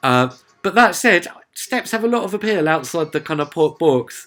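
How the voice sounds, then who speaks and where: A man speaks at a moderate pace with a Sussex accent and lively intonation while music plays in the background. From southern England, Sussex. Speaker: music reviewer. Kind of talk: casual video review. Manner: chatty, lots of filler uhs.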